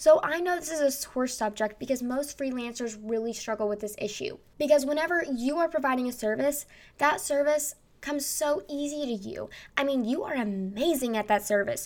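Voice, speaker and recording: A woman speaks at a fairly quick pace with a high pitch, lively intonation and an animated tone. The recording is very clean, with a silent background. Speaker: podcast host and marketer. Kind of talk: solo podcast monologue with marketing advice. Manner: fast talker; loud, animated, extroverted.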